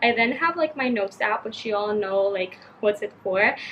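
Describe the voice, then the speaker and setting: Noticeable background noise is present throughout. A woman talks, her pitch varying in an ordinary way. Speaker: youtuber. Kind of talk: tutorial. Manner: casual, filler-heavy.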